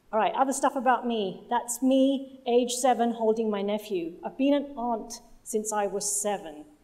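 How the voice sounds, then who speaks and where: In a Punjabi accent, a woman speaks at a high pitch with lively intonation. Her pace is fairly slow. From London, England. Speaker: project manager and communications lead. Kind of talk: conference talk.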